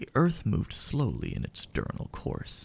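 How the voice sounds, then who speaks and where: A man whispers at a moderate pace. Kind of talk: audiobook-style reading of a novel for ASMR. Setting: home recording with fireplace sound in background. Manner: soft-spoken, whispered.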